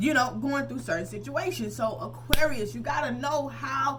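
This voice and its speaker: Her tone is animated, and the woman keeps a moderate pace. Noticeable background noise and audible room echo fill the recording. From US South. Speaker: tarot reader. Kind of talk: tarot reading. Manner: animated, casual.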